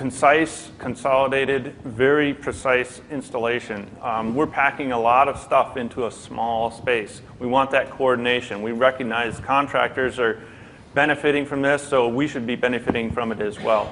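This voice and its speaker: A man at medium pitch and moderate pace, monotone and flat, with hardly any pauses. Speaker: airport BIM manager on a conference panel. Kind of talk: conference panel talk. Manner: loud.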